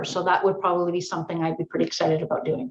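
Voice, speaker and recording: A woman speaks at a medium pitch. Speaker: physiotherapist and researcher. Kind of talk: podcast interview. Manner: fast; loud when excited.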